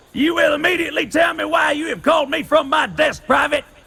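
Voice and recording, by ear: In a put-on character voice, a man shouts at an extremely high pitch, bright and sharp with vocal fry, at a fairly quick pace and with ordinary pitch variation.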